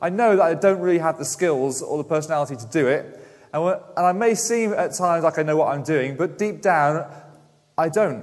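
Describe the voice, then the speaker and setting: This man's pitch is fairly high, and it varies in an ordinary way. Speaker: preacher. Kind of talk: sermon. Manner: mumbling.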